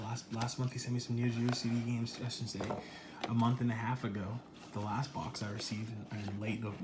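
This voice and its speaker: Quiet and very fast, a man speaks in a monotone, flat way over noticeable background noise. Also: medium pitch for a man. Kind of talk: casual unboxing talk to camera. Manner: lowered, quiet voice.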